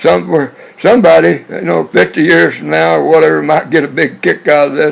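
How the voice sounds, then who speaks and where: With vocal fry and very wide pitch swings, a man speaks fairly quickly at a medium pitch. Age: 80s+. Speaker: navy veteran telling life stories. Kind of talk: personal reminiscence monologue. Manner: rambling, halting with repetitions.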